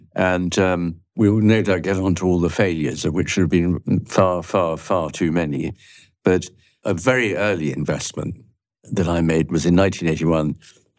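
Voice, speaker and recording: Intonation stays fairly even against a quiet background. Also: man. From London, England. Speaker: investment manager. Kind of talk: interview.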